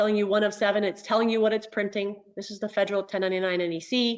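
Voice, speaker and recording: A woman speaks with a fairly high pitch, fairly even intonation and an ordinary speaking voice. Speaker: software trainer and consultant. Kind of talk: online training tutorial. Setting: webinar with screen share.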